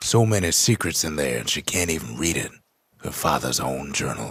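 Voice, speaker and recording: Putting on a character voice, a man drawls at a moderate pace in a very deep, low pitch with lively intonation. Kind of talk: frontier storyteller narration. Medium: video game. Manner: slow, folksy drawl.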